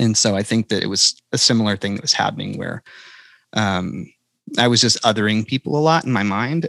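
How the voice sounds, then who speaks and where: A man with an American accent and vocal fry, talking at a fairly quick pace with ordinary pitch variation. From North Carolina. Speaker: country singer-songwriter. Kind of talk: podcast interview. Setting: podcast recording.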